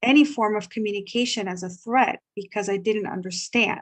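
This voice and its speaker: Her accent is Spanish. The woman talks at a moderate speed with a medium pitch. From Guatemala. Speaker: ESL teacher. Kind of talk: workshop discussion sharing. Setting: video call.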